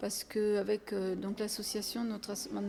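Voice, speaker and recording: A woman's medium-pitched voice, with audible room echo and noticeable background noise. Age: 70s. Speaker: head of a women's association. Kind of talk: interview. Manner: hesitant, many fillers.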